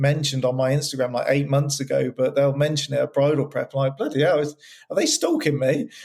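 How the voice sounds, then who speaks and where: Speaking with a West Country accent, a man sounds somewhat breathy at a fairly high pitch, his intonation fairly even. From West Country, England. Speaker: wedding photographer. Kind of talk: casual chat. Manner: monotone; halting, with false starts and repetitions.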